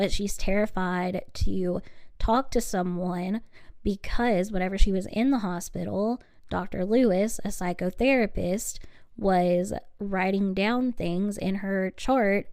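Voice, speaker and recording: Speaking very slowly, a soft-spoken woman keeps to a medium pitch. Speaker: true crime podcast host. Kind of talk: solo podcast narration of trial coverage.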